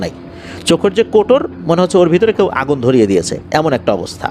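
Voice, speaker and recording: Over music in the background, a man talks in a high pitch with very wide pitch swings. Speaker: horror story radio host / narrator. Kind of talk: horror story narration in radio style.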